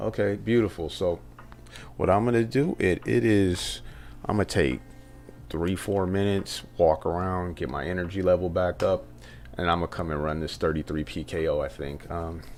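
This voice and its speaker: Soft-spoken, a man talks at a moderate pace in a very deep, low voice with ordinary pitch variation. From Southern California. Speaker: poker streamer. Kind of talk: live stream commentary.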